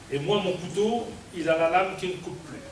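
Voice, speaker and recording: A man speaks with a high pitch and ordinary pitch variation, with audible room echo and noticeable background noise. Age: 70s. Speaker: mayor. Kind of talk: public speech. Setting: New Year ceremony with audience.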